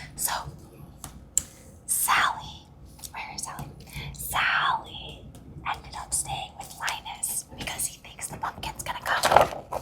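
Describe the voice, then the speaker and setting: Someone whispers at a very slow pace, with long, frequent pauses and big swings in loudness, over noticeable background noise. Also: woman. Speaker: ASMR storyteller reading to children. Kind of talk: children's bedtime story reading. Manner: whispered, soft.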